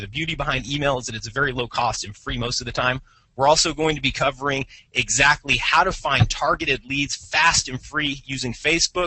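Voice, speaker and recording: This man sounds energetic, speaking at a fairly high pitch with ordinary pitch variation. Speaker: marketing company CEO, webinar host. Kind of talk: webinar presentation. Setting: live webinar, phone line. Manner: fast.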